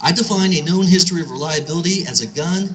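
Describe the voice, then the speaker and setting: Against noticeable background noise, a man with an American accent speaks in a high voice. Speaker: gun store owner and speaker. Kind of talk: speech at a rally. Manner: fast.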